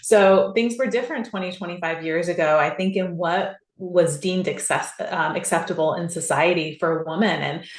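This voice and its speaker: With a West Coast US accent, a woman speaks at a moderate pace in a fairly low voice with ordinary pitch variation and hardly any pauses, amid audible room echo and noticeable background noise. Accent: General American (West Coast). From Southern California. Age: 40s. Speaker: podcast guest, CrossFit athlete. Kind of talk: interview conversation.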